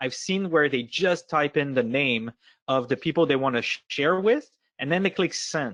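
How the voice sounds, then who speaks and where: A man with a Quebec accent speaks at a moderate pace with ordinary pitch variation, his voice dry and close with no echo against a quiet background. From Quebec, Montreal. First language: French. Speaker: software product lead. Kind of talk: webinar discussion. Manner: hesitant, searching for words.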